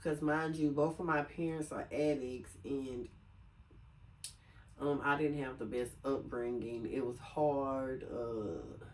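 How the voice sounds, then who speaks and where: In an American accent, a woman speaks fairly slowly with a very deep, low pitch and fairly even intonation, her voice carrying audible room echo. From US South, Lake Charles, Louisiana. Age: 40s. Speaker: video blogger. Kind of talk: casual chat. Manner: casual, many filler sounds.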